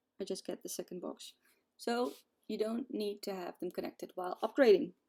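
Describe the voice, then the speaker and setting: A woman's fairly high voice with a non-native accent, dark and mellow in tone, lively in intonation, at a fairly quick pace. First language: not English. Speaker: gaming video creator. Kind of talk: tutorial. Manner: casual, hesitant with fillers.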